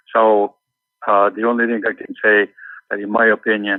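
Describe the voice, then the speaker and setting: Someone with a non-native accent talks at a moderate pace. The intonation is monotone and flat. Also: man. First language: not English. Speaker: mining company executive. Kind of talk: interview. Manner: halting, many repetitions.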